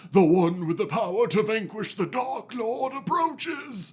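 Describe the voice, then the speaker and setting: A man's put-on character voice, high-pitched, with very wide pitch swings and a moderate pace. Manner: accented, trance-like prophecy.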